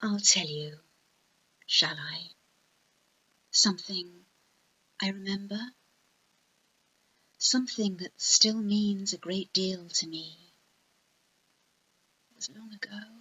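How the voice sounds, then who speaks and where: Soft-spoken and very slow, the voice keeps fairly even intonation, with big swings in loudness and long, frequent pauses. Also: woman, medium pitch for a woman. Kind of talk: ASMR poetry reading. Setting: home recording, basic microphone. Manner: softly spoken.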